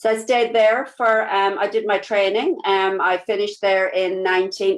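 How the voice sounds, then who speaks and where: With a strong Irish accent, a woman speaks at a moderate pace and medium pitch, her intonation monotone and flat. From Ireland. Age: 50s. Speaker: nurse and network marketing business partner. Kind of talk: interview. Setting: live video stream. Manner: casual with many fillers.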